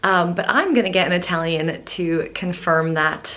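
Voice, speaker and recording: A woman speaks quietly at a fairly slow pace, with audible room echo. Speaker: travel vlogger. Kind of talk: vlog. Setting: hotel room.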